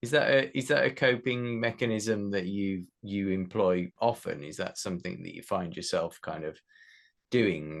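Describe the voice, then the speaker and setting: A man with a plain, everyday voice talks at a moderate pace in a fairly low pitch. His intonation is lively, and his loudness swings widely. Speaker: podcast host. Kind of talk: podcast interview questions.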